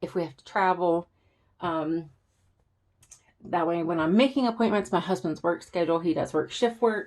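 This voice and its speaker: Recorded very cleanly with a silent background, a woman with an American accent speaks at a fairly low pitch and a moderate pace, with ordinary pitch variation and long, frequent pauses. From Southern US. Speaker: planner YouTuber. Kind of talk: casual talk to camera.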